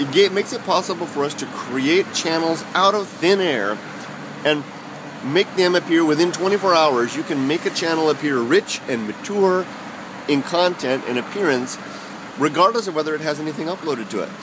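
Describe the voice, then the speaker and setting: Noticeable background noise sits behind a man speaking at a moderate pace. His pitch is fairly high. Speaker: YouTube vlogger. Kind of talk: casual vlog monologue. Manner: halting, many fillers and repeats.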